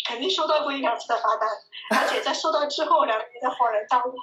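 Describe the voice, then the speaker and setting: Very fast speech from a high-pitched woman, ordinary pitch variation, with noticeable background noise. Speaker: video blogger living abroad. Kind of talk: casual interview chat.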